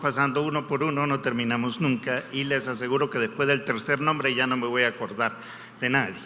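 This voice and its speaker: A man speaks at medium pitch and a fairly quick pace, with ordinary pitch variation. Audible room echo and noticeable background noise come through. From Peru, Lima. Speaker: guest preacher. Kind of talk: sermon.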